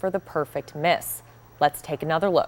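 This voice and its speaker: A woman's ordinary speaking voice, dry and close with no echo, at a fairly quick pace with ordinary pitch variation. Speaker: news anchor / reporter. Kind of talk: sports news segment.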